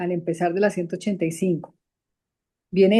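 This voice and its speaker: With fairly even intonation, a woman holds a medium pitch. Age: 60s. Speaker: study group participant. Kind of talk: group discussion. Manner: halting.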